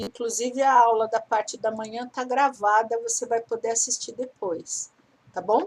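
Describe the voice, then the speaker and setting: A woman's normal speaking voice, fairly high in pitch, with fairly even intonation and moderate pace. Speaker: teacher. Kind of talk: lecture.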